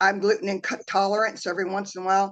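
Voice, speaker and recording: A woman's voice at medium pitch. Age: 60s. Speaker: customer giving a testimonial. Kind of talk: testimony. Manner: halting.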